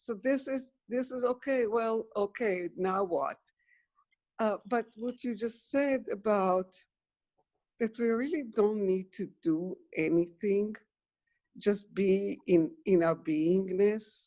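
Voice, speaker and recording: At a very slow pace with long, frequent pauses, a woman speaks in a fairly high pitch with ordinary pitch variation and a dark, mellow tone. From Israel. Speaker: webinar participant. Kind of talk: casual chat. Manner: calm.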